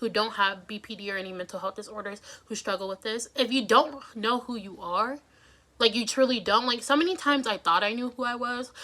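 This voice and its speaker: Over noticeable background noise, a woman talks at a fairly quick pace. Her tone is animated. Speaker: vlogger. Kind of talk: casual vlog monologue. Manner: fast.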